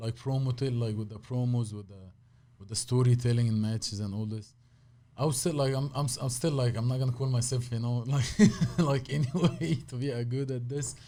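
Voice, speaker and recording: A man talks at a fairly quick pace in a strong Egyptian accent, his medium pitch fairly even in intonation. His tone is dark, mellow and somewhat breathy, with big swings in loudness. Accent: heavy Egyptian Arabic. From Egypt, Cairo. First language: Arabic. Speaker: professional wrestler and martial artist. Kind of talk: casual chat. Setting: studio.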